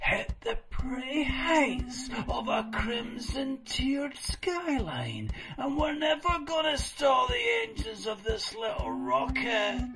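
Over clear background noise, a cartoonish character voice speaks at a fairly slow pace in a fairly high pitch. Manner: excited, rambling.

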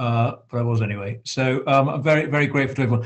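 Against a quiet background, a man speaks at a fairly quick pace in a somewhat breathy voice. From England. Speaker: member of parliament, meeting chair. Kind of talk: formal meeting chairing. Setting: video call. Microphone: video call.

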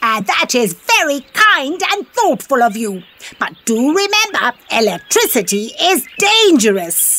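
With very wide pitch swings and a high pitch, a woman delivers a cartoonish character voice at a fairly slow pace. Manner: warm, motherly, mildly scolding.

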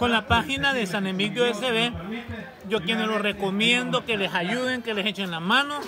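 Over crowd noise in the background, a man with an animated tone talks at a moderate pace and high pitch, with ordinary pitch variation and a dry sound with no echo. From El Salvador, San Miguel; El Salvador. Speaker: food vlogger. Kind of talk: casual vlog. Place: open country. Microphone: phone near.

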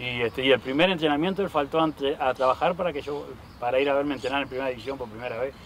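A man's very fast, fairly high voice with ordinary pitch variation, in a dry sound with no echo over light background noise. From Uruguay, Montevideo; Uruguay. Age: 40s. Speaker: former professional footballer (striker); interviewee. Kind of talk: casual sports interview. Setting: outdoors in a park. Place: open country. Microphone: lapel.

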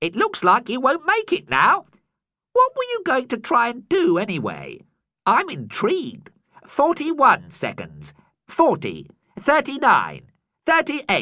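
A man uses a put-on character voice at an extremely high pitch, speaking at a very slow pace with long, frequent pauses. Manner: cheerful, giggly, flippant; mock-polite, chatty.

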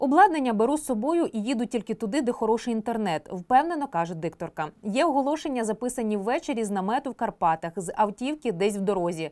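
A woman races along at a very fast pace, her fairly high voice making very wide pitch swings. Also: hardly any pauses. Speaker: announcer for city metro. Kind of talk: interview answer.

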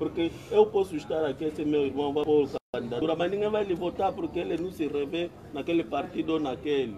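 A man with an Angolan accent speaks at a fairly quick pace over light background noise. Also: ordinary pitch variation. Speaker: community debate participant. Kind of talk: community debate. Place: open country. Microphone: phone near.

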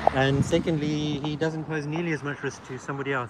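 Noticeable background noise behind a man, the sound dry with no echo. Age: 40s. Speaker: cycling YouTuber. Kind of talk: live street vlog. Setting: outdoors. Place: street. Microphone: camera far.

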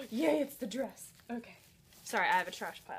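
Light noise sits in the background. Over it, a woman talks. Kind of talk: casual vlog chat. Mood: excited and happy. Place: home room. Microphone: phone near.

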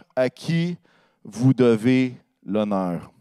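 This is a man talking over a quiet background. His voice comes through dry, without any echo. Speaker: pastor. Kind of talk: sermon. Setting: church. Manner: fervent, warm and earnest, with rising praise-like exclamations; conversational, pausing often and stumbling on words. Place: church. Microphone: handheld.

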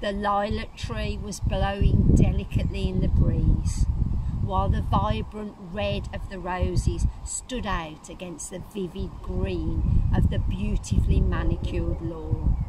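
A woman is heard talking fairly slowly, with loud noise in the background. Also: dry sound with no echo. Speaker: church minister or preacher. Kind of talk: sermon reflection. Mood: calm, gentle, reflective. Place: garden. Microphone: phone near.

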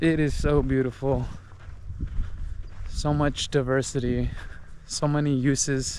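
A man speaks in a dry sound with no echo. Light background noise can be heard. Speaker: vlogger on a nature hike. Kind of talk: casual vlog chat. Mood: reflective, appreciative. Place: open country. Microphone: phone near.

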